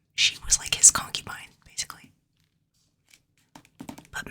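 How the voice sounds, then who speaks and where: A woman whispering. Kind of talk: ASMR book haul, casual talk to camera. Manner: casual, chatty.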